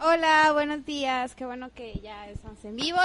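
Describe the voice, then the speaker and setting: A woman's animated voice with ordinary pitch variation. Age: 20s. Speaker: student radio host. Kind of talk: casual chat.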